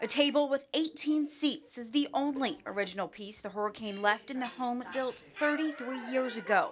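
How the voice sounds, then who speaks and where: Over music in the background, the speech runs with hardly any pauses, lively intonation and big swings in loudness. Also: woman, high pitch for a woman, moderate pace. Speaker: TV news reporter. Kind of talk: TV news report.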